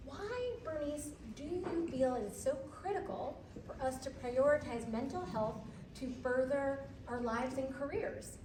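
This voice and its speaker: Loud speech at a fairly slow pace with audible room echo and noticeable background noise. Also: woman, high pitch for a woman, ordinary pitch variation. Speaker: panel moderator. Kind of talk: panel moderation. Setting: stage with audience. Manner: loud, projecting teacher voice. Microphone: no mic, dead battery.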